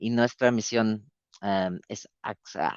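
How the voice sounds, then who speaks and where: A man speaks with a non-native accent. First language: not Spanish (speaking Spanish). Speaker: public health organisation representative. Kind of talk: webinar presentation. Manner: halting, many fillers.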